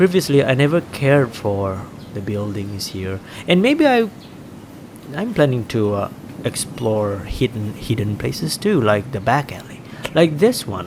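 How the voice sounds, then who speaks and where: A man with an American accent speaks at medium pitch and a fairly slow pace, using lively intonation and big swings in loudness over noticeable background noise. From Malaysia, Kuching, Sarawak. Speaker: travel vlogger. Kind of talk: walking tour vlog. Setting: outdoors, street. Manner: halting. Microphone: action camera, poor quality recording.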